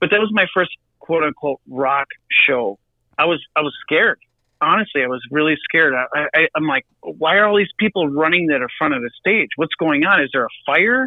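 The speaker has a Wisconsin accent. The pace is moderate. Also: man, fairly high pitch for a man. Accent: Wisconsin Midwestern US. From Milwaukee, Wisconsin. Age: 40s. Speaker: drummer in a rock band. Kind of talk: casual podcast interview.

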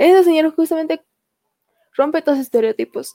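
At a moderate pace, a woman speaks in a dark, mellow tone with ordinary pitch variation, the sound dry and close with no echo. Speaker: podcast host. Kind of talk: casual chat.

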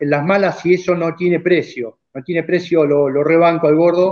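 A man speaks at a high pitch. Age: 50s. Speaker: racing driver and car builder. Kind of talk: casual chat.

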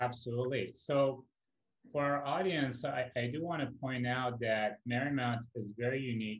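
In a normal speaking voice, a man talks at a moderate pace with medium pitch and fairly even intonation. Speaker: podcast founder and host. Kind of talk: casual interview.

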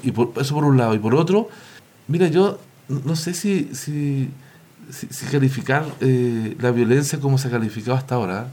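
A man with a normal speaking voice, medium pitch, moderate pace and lively intonation. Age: 50s. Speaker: local councillor and social worker. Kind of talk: panel discussion.

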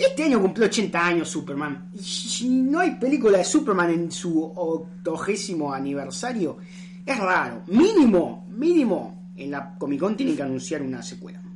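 A woman with a Rioplatense accent speaks at a moderate pace in a medium pitch with lively intonation, amid audible room echo and noticeable background noise. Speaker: podcast host. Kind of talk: casual chat.

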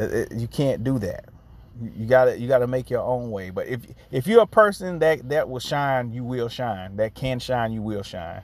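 A man with an unremarkable speaking voice talks at a medium pitch and a moderate pace. His intonation is lively, and his loudness swings widely. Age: 30s. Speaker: podcast host. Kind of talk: solo podcast monologue. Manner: casual.

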